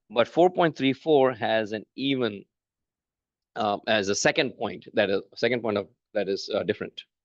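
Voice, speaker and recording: In a put-on character voice, the speaker mumbles at a moderate pace with lively intonation, in a dry, close sound with no echo against a quiet background. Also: man, medium pitch for a man. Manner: mumbling.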